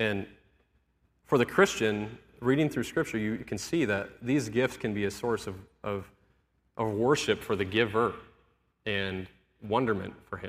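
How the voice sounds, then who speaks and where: Fairly slow, fairly low speech from a man, with ordinary pitch variation and long, frequent pauses. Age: 30s. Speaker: lay preacher and church guitarist. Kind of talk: sermon. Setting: church. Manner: casual, filler-heavy delivery.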